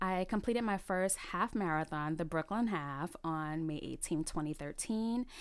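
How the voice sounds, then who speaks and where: In a New York accent, a woman speaks at a moderate pace with hardly any pauses, lively intonation, and a fairly low pitch. Her loudness is very even, and the recording is very clean with a silent background. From New York City, the Bronx. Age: 30s. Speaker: podcast host, recreational runner. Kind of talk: solo podcast monologue.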